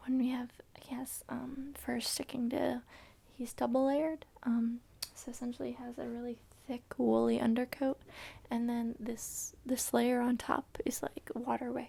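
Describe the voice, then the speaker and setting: Soft-spoken and gentle in tone, a woman talks at a moderate pace with big swings in loudness. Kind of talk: ASMR soft-spoken talk to camera while petting and brushing a dog. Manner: soft-spoken, gentle.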